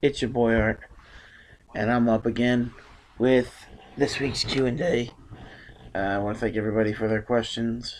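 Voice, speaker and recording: With long, frequent pauses, a man talks at a moderate pace in a medium pitch and fairly even intonation. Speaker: wrestling youtuber. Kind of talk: casual q and a vlog. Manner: filler-heavy.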